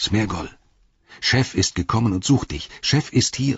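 A man's put-on character voice, fairly low in pitch with a husky, rough edge, lively intonation and a fairly slow pace

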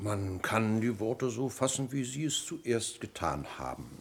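Putting on a character voice with vocal fry, a man speaks at a fairly slow pace with big pitch swings. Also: fairly low pitch for a man.

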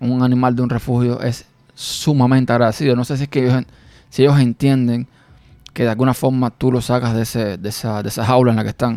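A man speaks very fast in a medium pitch. His tone is dark and mellow, and his intonation stays monotone and flat. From Cuba, rural village. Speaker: podcast host. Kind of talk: personal monologue. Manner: hesitant, with fillers and repetitions.

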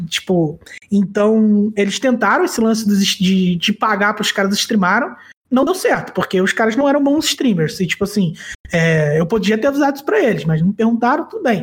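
Noticeable background noise surrounds a man with a high pitch. He talks at a moderate pace with lively intonation. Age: 30s. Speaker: card game commentator. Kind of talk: casual chat.

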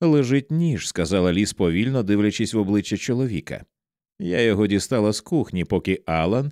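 Lively intonation marks this natural-voiced reading aloud, set against a quiet background.

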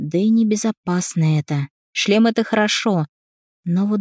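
Over a quiet background, the natural reading voice shows ordinary pitch variation.

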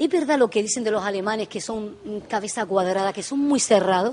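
A woman talks at a fairly quick pace in a medium pitch. Her tone is slightly mellow, with ordinary pitch variation.

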